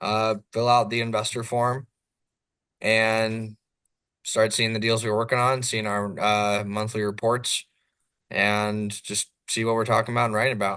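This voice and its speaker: Fairly slow speech in an American accent with long, frequent pauses, a bright, sharp tone and monotone, flat intonation, against a quiet background. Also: man, medium pitch for a man. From Southern California. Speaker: real estate developer. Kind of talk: podcast interview. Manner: loud.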